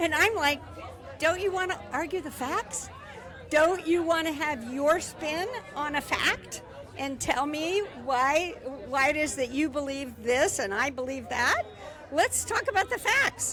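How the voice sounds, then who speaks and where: A woman speaks in a raised, projected voice at a high pitch, her intonation lively and her pace fairly slow, with crowd noise in the background. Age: 70s. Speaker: protest organizer. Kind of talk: street interview. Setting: outdoors at a rally. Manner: animated.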